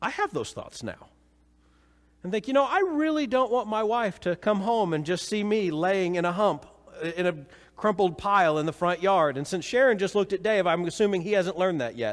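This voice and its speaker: A man talks with a high pitch. His intonation moves in a lively way. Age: 40s. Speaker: pastor. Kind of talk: sermon. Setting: church.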